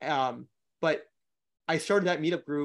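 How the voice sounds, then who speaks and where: A man speaks at a fairly quick pace in a normal speaking voice, fairly high in pitch, with fairly even intonation and a quiet background. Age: 20s. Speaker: short-term rental investor. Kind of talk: interview. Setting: live stream.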